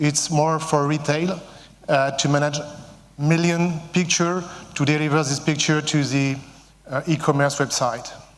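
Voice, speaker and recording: Speaking with a French accent, a man with a fairly high voice talks at a fairly slow pace in a flat monotone, keeping his loudness very even and taking long, frequent pauses, with audible room echo. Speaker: company CEO. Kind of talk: conference talk. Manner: halting, many fillers.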